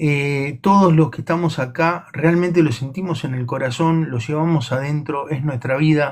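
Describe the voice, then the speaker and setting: A somewhat breathy, fairly high-pitched man with a Rioplatense accent, at a moderate pace with fairly even intonation and hardly any pauses, in a very clean recording with a silent background. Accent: Argentine Rioplatense Spanish. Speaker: livestream co-host. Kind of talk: casual chat. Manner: halting, repetitive.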